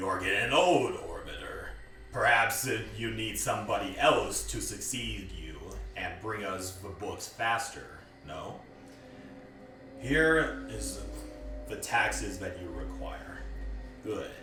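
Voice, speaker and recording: Doing a put-on character voice, a man sounds gruff and raspy at a fairly slow pace, with slight echo and clear background noise. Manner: domineering, taunting.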